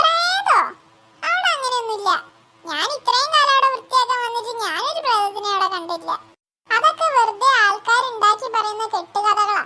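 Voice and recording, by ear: A cartoonish character voice, female-sounding and extremely high in pitch, moves at a moderate pace.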